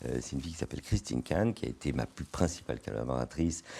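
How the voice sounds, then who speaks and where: This man's voice is very deep and low, with a dark, mellow tone. His intonation is lively, and vocal fry comes through. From France, grew up in a housing estate. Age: 60s. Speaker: business executive. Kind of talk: podcast interview. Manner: hesitant, many repetitions.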